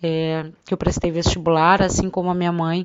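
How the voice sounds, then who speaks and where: A woman's voice, fairly low in pitch. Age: 30s. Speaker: interviewer and daughter. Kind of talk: personal testimony.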